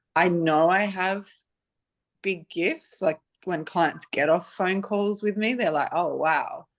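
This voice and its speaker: A woman with an Australian accent speaks at a very slow pace in a medium-pitched voice. Her pitch variation is ordinary, and the background is quiet. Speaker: divorce and boundaries coach. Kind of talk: casual introduction in group video call. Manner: halting.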